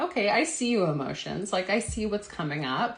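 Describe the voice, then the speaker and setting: Here, a woman's voice can be heard. It carries a somewhat breathy quality. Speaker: health coach. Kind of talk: live stream talk. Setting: live video stream.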